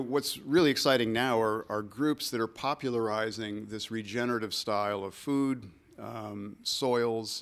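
In a plain, everyday voice, a man with an American accent talks at a fairly slow pace, his medium pitch showing ordinary variation while his loudness swings widely. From Michigan, US Midwest. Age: 60s. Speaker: ecologist and naturalist. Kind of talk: interview conversation.

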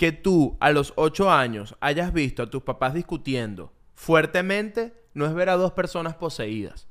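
Lively in intonation and hardly pausing at all, a man speaks at a fairly high pitch. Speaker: podcast co-host. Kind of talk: casual chat.

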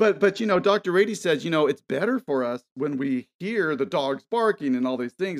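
On a dry, close recording with no echo, a man with a normal speaking voice talks at a moderate pace with lively intonation. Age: 50s. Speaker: documentary filmmaker. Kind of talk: interview.

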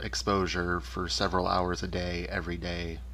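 Vocal fry runs through a man's voice. He speaks at a moderate pace. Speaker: podcast host. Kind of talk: interview. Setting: remote interview.

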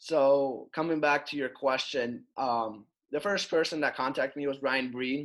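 A man with a Russian accent, fairly slow and fairly even in intonation, against a quiet background. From Russia (Moscow). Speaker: hockey player. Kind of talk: interview.

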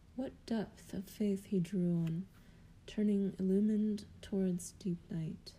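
A somewhat breathy, dark, mellow tone at a very slow pace with fairly even intonation. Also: woman, medium pitch for a woman. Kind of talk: poetry reading, solemn devotional verse read aloud. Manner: slow, measured, contemplative.

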